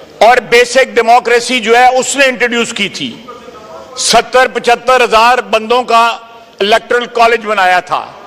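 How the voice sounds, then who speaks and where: Over noticeable background noise, a man talks at an extremely high pitch in a monotone, flat delivery. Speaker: defense minister, member of national assembly. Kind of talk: parliamentary floor speech, heated debate. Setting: national assembly hall with interruptions from other members. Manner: aggressive, sarcastic, forceful.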